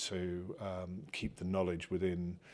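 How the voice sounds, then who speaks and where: A man with a West Country accent speaks in a very deep, low pitch on a very clean recording with a silent background. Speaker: university lecturer and doctoral student. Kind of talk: interview conversation. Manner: self-reflective, hesitant with many fillers.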